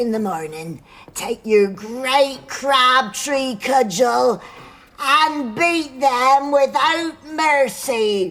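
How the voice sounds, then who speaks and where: A woman in a put-on character voice speaks at a very slow pace with a high pitch. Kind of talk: radio drama.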